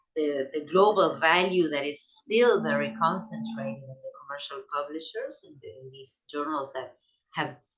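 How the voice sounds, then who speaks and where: The woman talks at a moderate pace. Behind her, music is playing. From Latin America. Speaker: sociologist of science. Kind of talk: academic lecture. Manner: halting, many repetitions.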